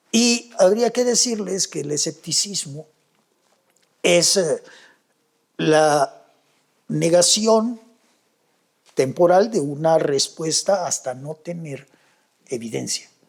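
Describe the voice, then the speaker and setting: A man with a high pitch speaks at a very slow pace, leaving long, frequent pauses. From Mexico, Yucatán (Mérida). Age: 70s. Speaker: skeptic investigator of UFO claims. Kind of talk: interview conversation. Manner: halting, frequent fillers and repetitions.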